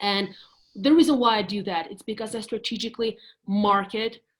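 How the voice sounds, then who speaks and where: Speaking at a fairly quick pace, a woman with a Russian accent uses a fairly high, somewhat breathy voice and fairly even intonation. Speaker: real estate agent. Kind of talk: casual interview on live video call.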